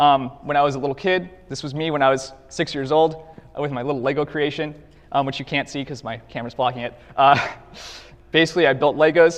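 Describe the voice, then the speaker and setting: Here a man talks at a very fast pace in a fairly high voice. His intonation is fairly even. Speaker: cybersecurity conference speaker, pen tester. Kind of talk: conference talk. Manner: halting, many fillers and repetitions.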